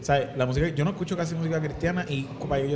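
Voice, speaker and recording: In a Puerto Rican accent, the speaker talks at a very fast pace amid noticeable background noise and audible room echo. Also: man. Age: 20s. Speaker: podcast host and singer. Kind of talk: casual chat. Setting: pizzeria.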